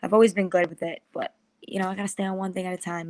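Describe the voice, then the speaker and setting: A woman with a New York accent talks at a very fast pace, her pitch fairly low and her intonation monotone and flat. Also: dry, close sound with no echo. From US Northeast, Long Island, New York. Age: 20s. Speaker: podcast host and media strategist. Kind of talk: interview.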